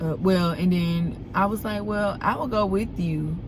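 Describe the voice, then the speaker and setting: Noticeable background noise, audible room echo, a fairly slow pace and ordinary pitch variation. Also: woman. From Alabama, US South. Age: 20s. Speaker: vlogger. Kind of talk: casual vlog talk. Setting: in a car. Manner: unscripted, conversational.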